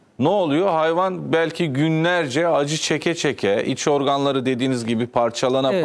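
With an ordinary speaking voice, a man talks at a moderate pace and fairly high pitch, using lively intonation. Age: 30s. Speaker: TV talk show host. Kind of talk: TV interview. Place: studio.

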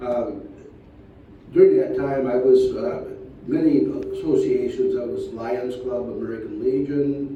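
Audible room echo surrounds a man speaking with a Michigan accent. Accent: Michigan, US Midwest. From northern Michigan. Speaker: former sheriff, county commissioner candidate. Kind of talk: debate. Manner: halting.

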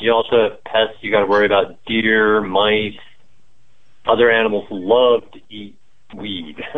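Speaking fairly slowly with long, frequent pauses, a man keeps a fairly low, flat, monotone delivery while his loudness swings widely. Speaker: cannabis grower. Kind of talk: interview.

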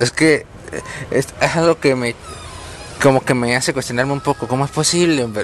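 With noticeable background noise, a man speaks at a fairly quick pace with a fairly high pitch. His intonation is fairly even, and he takes long, frequent pauses. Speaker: student interviewer. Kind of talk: interview questions.

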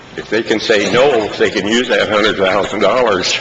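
A man speaks at a fairly quick pace. There is noticeable background noise behind him. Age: 80s+. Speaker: farmer speaking at public hearing. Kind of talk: public comment at hearing. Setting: public hearing with audience.

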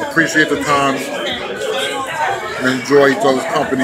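With crowd noise in the background, a man speaks at a fairly slow pace. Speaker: food vlogger. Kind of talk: casual vlog chat. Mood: relaxed, friendly. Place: cafe. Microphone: phone near.

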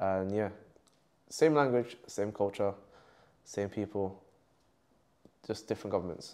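Heard on a very clean recording with a silent background, a man with a London accent speaks at a fairly low pitch. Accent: London multicultural English. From West London. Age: 20s. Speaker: content creator. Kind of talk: casual interview. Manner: animated.

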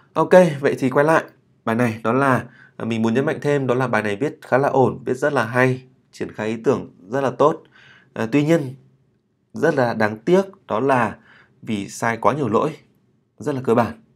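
A man in a medium pitch speaks at a moderate pace with ordinary pitch variation and long, frequent pauses, in a very clean recording with a silent background. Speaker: English writing teacher. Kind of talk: tutorial. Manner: hesitant with many fillers.

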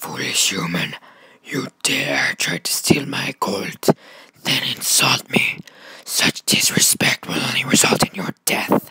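A raspy, put-on character voice at a low-to-middle pitch moves along at a fairly slow pace. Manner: menacing, threatening.

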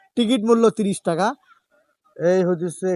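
A man's voice rises and falls with ordinary pitch variation. The sound is dry and close, with no echo. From Gaibandha, northern Bangladesh. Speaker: travel vlogger. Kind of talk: vlog narration. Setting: outdoors.

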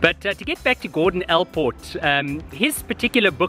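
A man speaks at a high pitch and a moderate pace. Faint music plays behind a dry sound with no echo. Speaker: researcher vlogger. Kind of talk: casual vlog reflection. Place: open country. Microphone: phone near.

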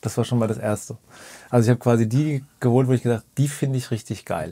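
A man talks at a fairly quick pace in a dark, mellow tone. His pitch varies in an ordinary way, and the background is quiet. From Lower Franconia, Germany (Bad Kissingen, Rhön); Bavaria, Germany. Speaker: pianist, producer and TV show music director; podcast host or guest. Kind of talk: casual interview. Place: studio.

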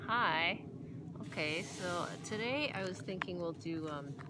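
There is noticeable background noise. Over it, a woman speaks. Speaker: art teacher. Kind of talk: drawing tutorial talk. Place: garden. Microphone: phone near.

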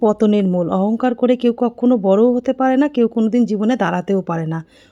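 Its pitch moves in an ordinary way, and the tone is dark and mellow. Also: woman. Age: 40s. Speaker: family vlogger. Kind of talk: casual vlog narration.

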